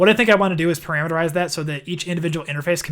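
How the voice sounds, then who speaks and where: A man talks at a very fast pace with a Midwestern accent. His intonation is fairly even, and the recording is very clean with a silent background. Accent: Midwest. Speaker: software developer streamer. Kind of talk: live coding stream. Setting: live stream. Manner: casual, thinking aloud with fillers.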